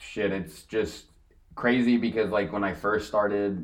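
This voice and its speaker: A man's voice carries audible room echo as he talks at a moderate pace. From California (Corona). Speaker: vintage clothing reseller. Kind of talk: casual chat.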